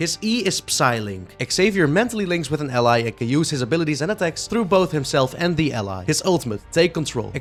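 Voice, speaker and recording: Music plays in the background as a man talks at a fairly quick pace. His fairly high voice swings very widely in pitch. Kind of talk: casual gaming commentary.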